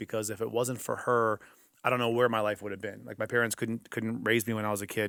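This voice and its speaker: A man with an American accent, medium pitch and fairly even intonation, on a very clean recording with a silent background. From US, early childhood in Greece. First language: Greek. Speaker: entrepreneur and network marketer. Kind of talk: podcast interview.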